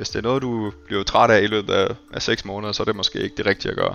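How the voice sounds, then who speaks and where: A man speaks at a very fast pace with fairly even intonation. His voice sits fairly low, and music plays in the background. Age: 40s. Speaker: tech company employee. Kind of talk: interview. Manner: halting.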